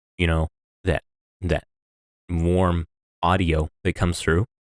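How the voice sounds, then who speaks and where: A man with a very deep, low voice speaks in a flat monotone. The recording is very clean and close, with a silent background and no echo. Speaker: audio critic, video creator. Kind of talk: casual commentary on audio. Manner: halting, many repetitions.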